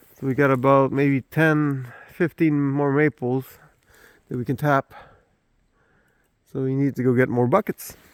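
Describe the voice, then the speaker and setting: In a Quebec accent, a man with a fairly high pitch speaks at a fairly slow pace, the sound dry and close with no echo. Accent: Québécois French accent in English. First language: French. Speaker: homesteader. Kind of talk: casual walking tour vlog. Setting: outdoors. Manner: halting, many fillers.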